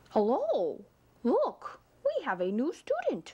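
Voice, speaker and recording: The pace is fairly slow. The voice is a put-on character voice. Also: woman, extremely high pitch for a woman. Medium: read story. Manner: prim, exclamatory.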